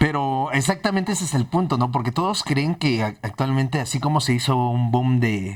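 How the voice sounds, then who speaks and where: Using a plain, everyday voice, a man talks at a medium pitch and a moderate pace with ordinary pitch variation. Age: 30s. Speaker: podcast host. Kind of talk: casual interview chat.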